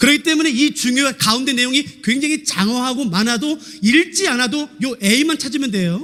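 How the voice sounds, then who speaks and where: The delivery has a bright, sharp tone and lively intonation. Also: man. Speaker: pastor; seminary lecturer. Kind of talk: sermon. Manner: fast.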